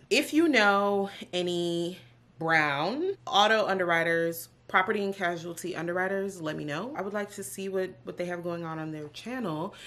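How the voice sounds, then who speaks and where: Her loudness swings widely as a woman speaks at a moderate pace with ordinary pitch variation. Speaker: vlogger. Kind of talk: casual vlog chat. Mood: proud, excited. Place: home room. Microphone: camera far.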